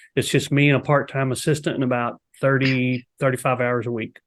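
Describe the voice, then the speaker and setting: The recording is very clean, with a silent background. A man with a Texas accent talks in a monotone, flat intonation. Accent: Texas drawl. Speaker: real estate agent. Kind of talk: casual chat.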